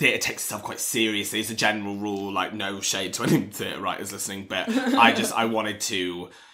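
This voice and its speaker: The man's voice has a fairly low pitch and moves at a fairly quick pace. Noticeable background noise and audible room echo are present. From England, Newark, Nottinghamshire. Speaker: comedy screenwriter. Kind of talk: casual chat. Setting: home kitchen.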